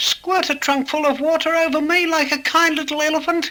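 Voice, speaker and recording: A man's squeaky put-on character voice, extremely high pitched, monotone and flat, at a fairly quick pace. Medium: read story. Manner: anxious, pleading.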